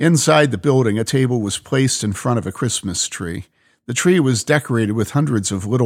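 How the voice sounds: A natural reading voice carries over a quiet background.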